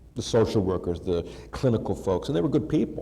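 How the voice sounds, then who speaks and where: With vocal fry and a dark, mellow tone, a man speaks at a very fast pace, and audible room echo surrounds him. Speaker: keynote speaker. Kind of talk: keynote speech. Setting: conference stage with audience. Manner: animated.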